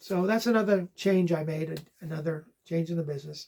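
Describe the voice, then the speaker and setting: A man's high-pitched voice with a dark, mellow tone, fairly even intonation and a moderate pace. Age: 60s. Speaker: online reseller and channel host. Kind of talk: casual vlog talk. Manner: casual, hesitant with fillers.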